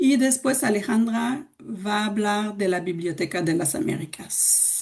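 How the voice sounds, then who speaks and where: A woman's somewhat breathy, fairly high voice at a very slow pace. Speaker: cultural organization director presenting. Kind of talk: webinar presentation. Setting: video call from home. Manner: slow, deliberate for learners.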